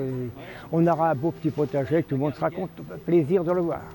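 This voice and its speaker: There is noticeable noise in the background as a man speaks at a moderate pace. His pitch is fairly high, with ordinary variation. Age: 70s. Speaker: care home resident. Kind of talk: documentary interview.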